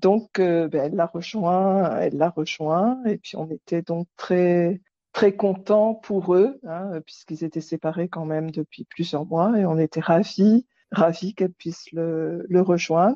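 Ordinary pitch variation at a very slow pace. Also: woman, fairly low pitch for a woman. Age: 60s. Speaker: nurse. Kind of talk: interview.

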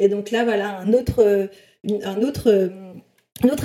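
A woman's fairly high-pitched voice, dark and mellow in tone, with monotone, flat intonation. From southwest France, small village. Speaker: HR recruitment expert and influencer. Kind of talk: interview.

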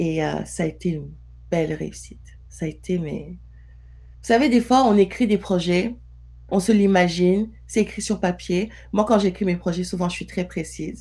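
A woman talks with long, frequent pauses, keeping a moderate pace. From Senegal. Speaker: entrepreneur. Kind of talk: interview conversation.

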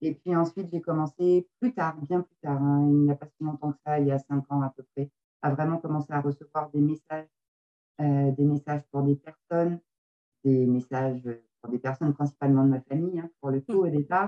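Very deep and low in pitch, a woman speaks at a moderate pace with fairly even intonation. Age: 40s. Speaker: medium and card reader. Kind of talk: interview.

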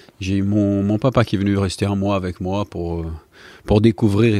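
A man's fairly low, dark, mellow voice at a fairly slow pace, on a very clean recording with a silent background. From Brazil. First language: Portuguese (speaking French). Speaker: retired footballer. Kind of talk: interview. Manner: halting.

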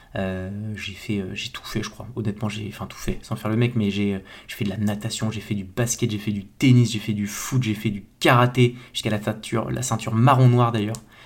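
Speaking at a moderate pace, a man with a fairly low pitch keeps his intonation fairly even while his loudness swings widely. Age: 30s. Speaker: agency founder and podcaster. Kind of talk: solo podcast monologue. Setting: home bedroom. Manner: casual, hesitant with many fillers.

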